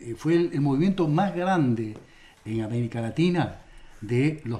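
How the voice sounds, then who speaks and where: Somewhat breathy and fairly high in pitch, a man talks slowly-ish, at a fairly slow pace, with a dark, mellow tone and lively intonation. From Argentina, Santa Fe. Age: 70s. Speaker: farmer movement leader and speaker. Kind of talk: radio interview. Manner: halting, with many fillers and repetitions.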